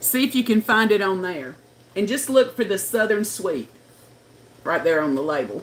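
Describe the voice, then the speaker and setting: A woman of medium pitch at a moderate pace, with very wide pitch swings and long, frequent pauses. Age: 60s. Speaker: livestreamer. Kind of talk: casual chat. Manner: chatty.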